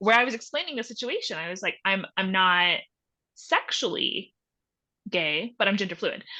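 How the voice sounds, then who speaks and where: A woman with an American accent speaks at medium pitch and a moderate pace. It's a normal speaking voice with lively intonation. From Texas. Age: 20s. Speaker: photojournalist. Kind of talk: podcast interview.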